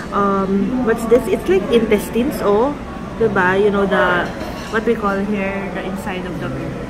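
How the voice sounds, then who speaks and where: The speech moves at a fairly slow pace. Loud background noise runs underneath it. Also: woman. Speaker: food vlogger. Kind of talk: casual vlog chat. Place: cafe.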